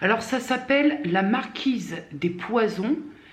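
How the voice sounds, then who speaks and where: A woman is talking. Her voice carries audible room echo. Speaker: vlogger. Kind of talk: casual vlog monologue. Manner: hesitant, many fillers.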